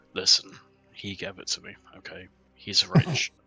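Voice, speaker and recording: At a moderate pace, a man puts on a character voice with fairly low pitch. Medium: actual play. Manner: brash, breezy.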